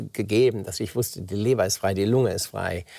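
A man's fairly low voice sounds somewhat breathy, with ordinary pitch variation. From Germany. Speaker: oncologist and author. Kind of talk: interview. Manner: halting, many fillers.

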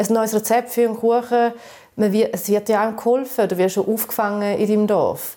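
A woman with a plain, everyday voice and fairly high pitch talks at a moderate pace. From eastern Switzerland, St. Gallen area, Balkan family roots. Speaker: podcast co-host. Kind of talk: casual chat.

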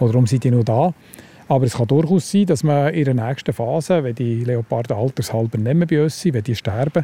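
The sound is dry and close with no echo as a man with an unremarkable speaking voice talks at a fairly quick pace in a medium pitch, with ordinary pitch variation. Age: 60s. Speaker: zoo biologist. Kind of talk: guided zoo tour.

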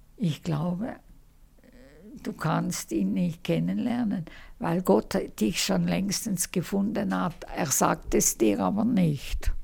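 A woman talks at a very slow pace, with long pauses coming often. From Switzerland, Laufen am Rheinfall. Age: 80s. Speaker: author and social worker. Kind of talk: interview.

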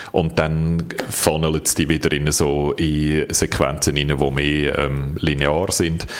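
A man's very deep, low pitch at a very slow pace, monotone and flat in intonation, against noticeable background noise. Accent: Swiss. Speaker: tech journalist, podcast co-host. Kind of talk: casual chat.

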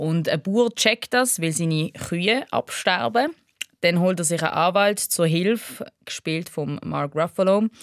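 With an unremarkable speaking voice, a woman speaks fairly slowly in a fairly low pitch with lively intonation, the sound dry and close with no echo. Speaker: podcast host, film critic. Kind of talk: casual chat.

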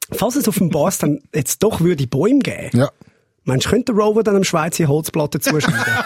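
A man with a Swiss accent speaks at a high pitch with very wide pitch swings and very even loudness, the sound dry and close with no echo. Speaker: podcast host. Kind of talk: casual chat podcast.

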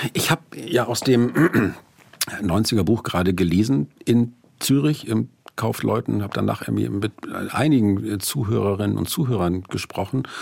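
A man with an unremarkable speaking voice talks at a moderate pace. His pitch is fairly low and his intonation lively. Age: 50s. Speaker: author and music critic. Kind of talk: radio interview. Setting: studio.

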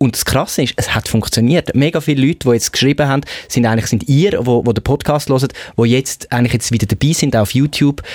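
Talking at a very fast pace, a man with a medium pitch keeps very even loudness and ordinary pitch variation, with a dry, close sound with no echo. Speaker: radio producer and podcast co-host. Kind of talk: casual chat.

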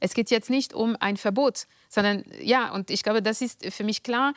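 A woman talks at a fairly slow pace with fairly high pitch and ordinary pitch variation. The sound is dry and close with no echo, on a very clean recording with a silent background. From France, near Paris. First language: French (speaking German). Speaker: political scientist and author. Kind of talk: interview. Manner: hesitant, many fillers.

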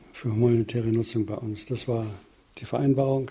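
The speech has a monotone, flat intonation at a moderate pace. Noticeable background noise is present. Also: man. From Upper Bavaria, Germany. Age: 70s. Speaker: retired plant biotechnologist. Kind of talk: interview. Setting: home living room.

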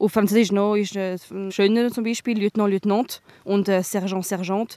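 A woman speaks at a moderate pace and medium pitch, her tone dark and mellow, in a dry, close recording with no echo. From Switzerland, trilingual. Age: 20s. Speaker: soldier. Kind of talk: field interview. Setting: outdoors. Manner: hesitant.

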